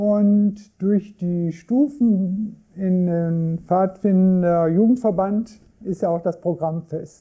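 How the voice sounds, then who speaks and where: Speaking very slowly over a quiet background, a man with a high pitch and a dark, mellow tone shows ordinary pitch variation. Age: 60s. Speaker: scout group member, youth worker. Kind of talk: interview. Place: office.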